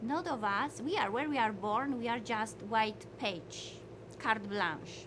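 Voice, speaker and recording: A woman with lively intonation, amid audible room echo and noticeable background noise. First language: not English, learned English five years ago. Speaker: motivational speaker. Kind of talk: motivational lecture. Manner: halting non-native English.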